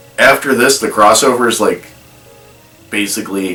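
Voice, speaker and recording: A man talks with ordinary pitch variation while music plays behind him. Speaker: movie reaction youtuber. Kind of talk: casual video commentary. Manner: hesitant with fillers.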